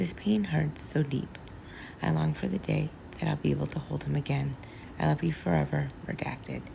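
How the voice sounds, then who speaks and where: Moderately paced, soft-spoken speech. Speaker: social media commentator. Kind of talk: reading aloud a social media post. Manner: quiet, soft-spoken.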